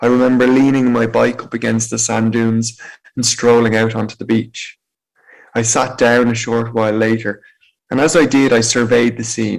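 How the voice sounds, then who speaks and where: A man with an Irish accent at medium pitch, moderate pace and monotone, flat intonation. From Ireland, County Meath. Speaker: motivational speaker. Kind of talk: personal testimony talk.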